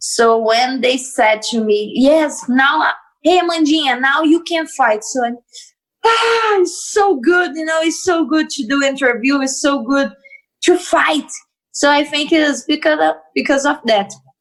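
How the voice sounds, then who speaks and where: Speaking with a Portuguese accent, a woman uses lively intonation and a high pitch. She talks at a fairly slow pace. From Brazil. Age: 20s. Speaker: MMA fighter. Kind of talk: interview. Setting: video call. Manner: cheerful, animated; halting non-native English.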